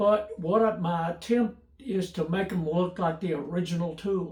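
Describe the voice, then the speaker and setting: Over noticeable background noise, a man with a Tennessee accent speaks at a high pitch with fairly even intonation. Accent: Southern US (Tennessee). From US South (Memphis, Tennessee). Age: 80s+. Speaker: YouTuber restoring old tools. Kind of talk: casual personal Q&A monologue. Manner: halting, many fillers and repeats.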